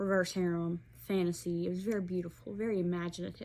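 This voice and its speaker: At a moderate pace and medium pitch, a woman with an Alabama accent speaks in a very clean recording with a silent background. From Alabama, US South. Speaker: book reviewer. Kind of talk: casual book review vlog.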